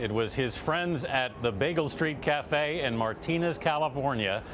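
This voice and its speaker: At a moderate pace and medium pitch, a man has an unremarkable speaking voice with lively intonation. He hardly pauses, and his loudness stays very even. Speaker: TV news correspondent. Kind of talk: TV news report.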